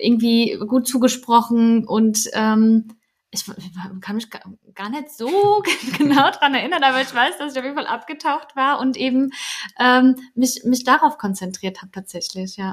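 Pausing long and often, a woman speaks at a high pitch with lively intonation. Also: moderate pace, big swings in loudness. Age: 20s. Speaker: new mother, childcare consultant. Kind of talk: casual interview.

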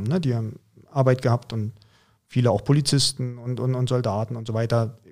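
A man speaks at a medium pitch with a dark, mellow tone, somewhat breathy and with fairly even intonation, on a very clean recording with a silent background. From Mecklenburg-Vorpommern, eastern Germany. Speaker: American football coach. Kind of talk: casual interview.

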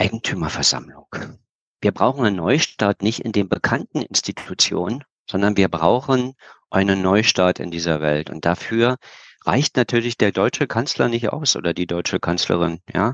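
In a normal speaking voice, a man speaks at a fairly low pitch. His pace is moderate and his intonation lively. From Berlin, Germany. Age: 50s. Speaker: geopolitical expert and speaker. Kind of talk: interview.

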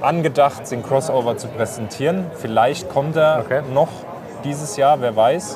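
Music plays in the background as a man speaks at a moderate pace amid audible room echo. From southwestern Germany, Odenwald. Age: 20s. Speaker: camper dealer and YouTuber. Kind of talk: casual chat. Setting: trade fair floor.

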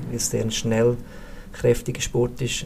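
Noticeable background noise sits under this recording. A man with a medium-pitched voice speaks at a moderate pace. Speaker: sports physiotherapist, former ski racer. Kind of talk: podcast interview.

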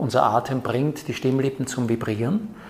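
A man speaks at a moderate pace with a medium pitch and ordinary pitch variation. Noticeable background noise runs underneath. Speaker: actor and speech trainer. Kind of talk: interview. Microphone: new microphones, echo in middle part.

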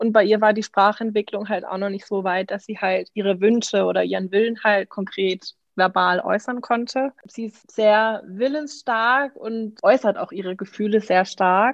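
Over a quiet background, the voice moves at a moderate pace with fairly even intonation. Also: woman. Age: 20s. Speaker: mother, course participant. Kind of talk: interview. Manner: hesitant, many fillers.

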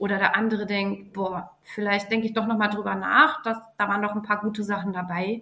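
A woman speaks at a moderate pace in a medium pitch. Hers is an ordinary speaking voice with fairly even intonation. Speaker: athletic trainer. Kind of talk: interview.

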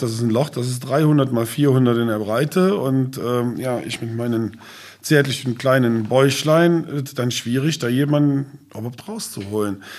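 With an ordinary speaking voice, this man holds a medium pitch and shows ordinary pitch variation. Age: 50s. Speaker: safety trainer and business owner. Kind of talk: casual interview. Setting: on site at training centre.

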